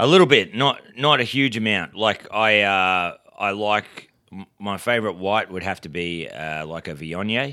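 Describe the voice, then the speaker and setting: This man has a rural Australian accent and a fairly low pitch, with a bright, sharp tone. His intonation is lively, his loudness swings widely, and he hardly pauses. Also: fairly slow pace. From rural New South Wales-Queensland border, Australia. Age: 40s. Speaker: stand-up comedian. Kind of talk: casual chat.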